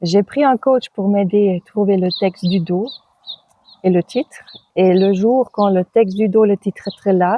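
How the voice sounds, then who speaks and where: With a German accent, a woman of medium pitch speaks at a fairly slow pace, her loudness very even and her pitch varying in an ordinary way. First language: German (speaking French). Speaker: author and birth companion. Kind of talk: interview. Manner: halting.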